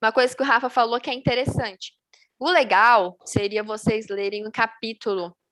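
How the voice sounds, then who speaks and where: Bright and sharp in tone, a woman speaks at a moderate pace with fairly high pitch and ordinary pitch variation, the sound dry and close with no echo. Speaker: Bible study teacher. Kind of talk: Bible study on video call.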